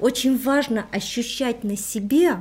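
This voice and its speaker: Speaking at a fairly slow pace, a woman uses a normal speaking voice with a fairly high pitch. Her pitch varies in an ordinary way. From Armenia. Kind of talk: interview.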